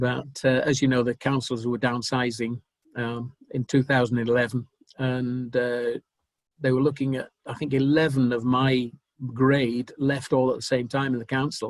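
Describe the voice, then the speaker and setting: In a dry, close sound with no echo, a man of medium pitch talks at a moderate pace with monotone, flat intonation. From northern England. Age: 70s. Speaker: retired army officer. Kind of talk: interview. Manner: halting.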